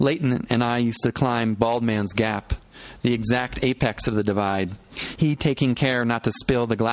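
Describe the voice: Straightforward reading aloud, nothing more.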